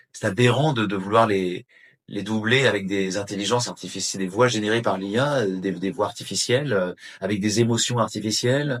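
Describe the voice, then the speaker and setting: With a plain, everyday voice, a man speaks at a fairly low pitch and moderate pace, using ordinary pitch variation, in a very clean recording with a silent background. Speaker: voice actor (French dubbing actor). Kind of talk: interview answer. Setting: interview. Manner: earnest, concerned, speaking with conviction.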